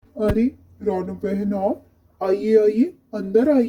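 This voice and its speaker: A cartoonish character voice, female-sounding and fairly high in pitch. It moves at a very slow pace. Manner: polite, mild.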